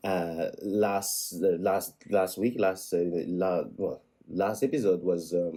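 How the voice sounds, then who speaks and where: Very slow and fairly even in intonation, a man speaks with a French accent. His voice is very deep and low, with a dark, mellow tone. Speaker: vlogger. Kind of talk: casual vlog monologue. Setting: indoors at home. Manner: halting, many repetitions and restarts.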